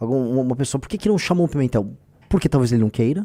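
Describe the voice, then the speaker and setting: A man speaks in a dark, mellow voice of medium pitch with very wide pitch swings. The recording is very clean, with a silent background. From Brazil, São Paulo. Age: 40s. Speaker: political party leader and candidate. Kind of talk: live stream commentary. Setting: live stream. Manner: fast; informal.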